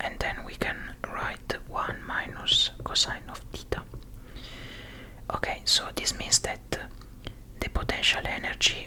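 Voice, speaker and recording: Someone is whispering at a fairly slow pace. Noticeable background noise is present. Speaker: ASMR content creator / physics tutor. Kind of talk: ASMR study-along physics explanation, soft-spoken. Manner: whispered, soft-spoken.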